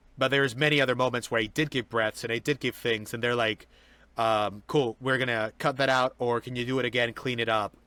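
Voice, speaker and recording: A man talks at a fairly quick pace and medium pitch, his tone bright and sharp. The recording is very clean, with a silent background and a dry, close sound with no echo. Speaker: voice actor. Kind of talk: interview. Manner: fast; animated.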